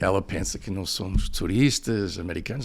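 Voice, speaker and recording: A man with an English accent speaks at a fairly low pitch, with noticeable background noise behind him. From United States, snowy region. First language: English (speaking Portuguese). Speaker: professor, podcast guest. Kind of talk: interview, personal storytelling. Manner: hesitant, many fillers.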